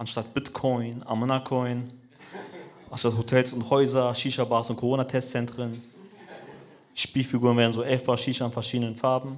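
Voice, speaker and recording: A fairly quick pace interrupted by long, frequent pauses. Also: man. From Braunschweig, Kurdish-Turkish family. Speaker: comedian. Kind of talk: stand-up. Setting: stage with audience.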